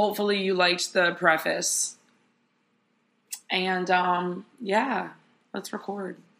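A woman's bright, sharp tone at a fairly slow pace. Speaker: podcaster. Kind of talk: casual monologue. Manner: rambling, casual.

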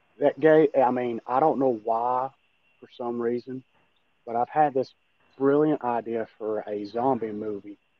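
A man with an Appalachian accent keeps fairly even intonation while his loudness swings widely. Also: medium pitch for a man. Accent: Appalachian Kentucky. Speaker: amateur actor and horror fan. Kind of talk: casual interview chat.

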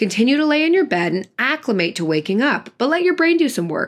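The tone is animated. Pitch swings very widely. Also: woman. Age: 20s. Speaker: podcast producer and host. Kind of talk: scripted monologue.

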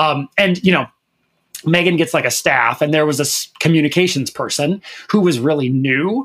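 A man with an American accent and a plain, everyday voice, fairly high in pitch, at a moderate pace, with ordinary pitch variation and very even loudness. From Minnesota, US Midwest. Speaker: fill-in podcast co-host, LGBTQ media advocate. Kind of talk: casual chat.

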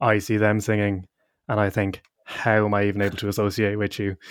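Over a very clean recording with a silent background and a dry, close sound with no echo, a man with an Irish Midlands accent talks at a moderate pace. His fairly low pitch stays monotone, with flat intonation. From Ireland (midlands). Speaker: university student and choir singer. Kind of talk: casual interview chat.

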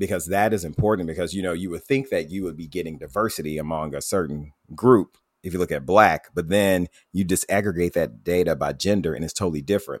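Recorded very cleanly against a silent background, a man with a very deep, low pitch talks at a very fast pace with ordinary pitch variation. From US South, Tuscaloosa, Alabama. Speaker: health equity director. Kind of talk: interview. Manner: hesitant, repeats words.

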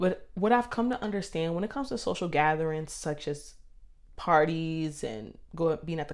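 Speaking at a moderate pace, a woman uses a fairly low pitch, lively intonation and an animated tone. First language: not Spanish (English). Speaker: podcast host. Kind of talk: casual monologue storytelling.

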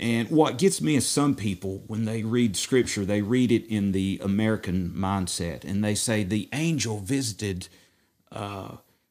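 This man speaks at a fairly slow pace with an East Tennessee accent. His pitch sits fairly low. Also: very clean recording, silent background. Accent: East Tennessee Southern. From US South, East Tennessee. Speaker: messianic rabbi. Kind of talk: bible study discussion.

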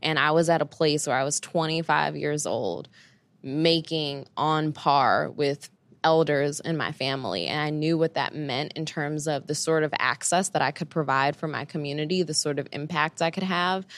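In a New York accent, a woman with a very deep, low pitch speaks in a flat monotone at a moderate pace on a very clean recording with a silent background. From Brooklyn, New York. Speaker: CEO and career coach. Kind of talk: interview.

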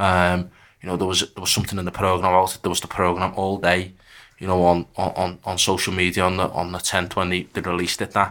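Very fast and monotone, a man delivers flat intonation in a very deep, low pitch with a bright, sharp tone. It's a very clean recording with a silent background. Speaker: supporters' group chair. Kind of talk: casual chat. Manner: halting.

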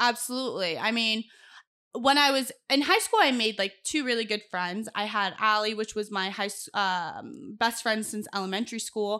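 In an American accent, the speaker uses a bright, sharp tone with ordinary pitch variation at a moderate pace, on a very clean recording with a silent background. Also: woman, fairly high pitch for a woman. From Los Angeles. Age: 20s. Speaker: TV news producer. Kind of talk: casual chat.

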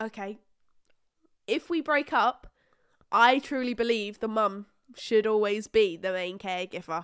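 On a very clean recording with a silent background, a woman talks at a fairly slow pace with a fairly high pitch, ordinary pitch variation and long, frequent pauses. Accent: British. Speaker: podcast co-host. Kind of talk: casual chat. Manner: animated.

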